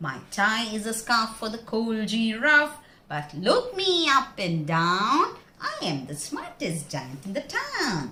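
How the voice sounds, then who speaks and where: In a put-on character voice, a woman speaks fairly slowly and sing-song, with a fairly high pitch, very wide pitch swings and a cheerful tone. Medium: read story. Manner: cheerful, sing-song.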